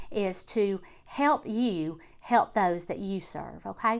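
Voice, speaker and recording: A woman with an Alabama accent speaks at a medium pitch in a bright, sharp tone. Her intonation is lively, and the recording is very clean with a silent background. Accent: Southern US (Alabama). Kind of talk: casual talk to camera.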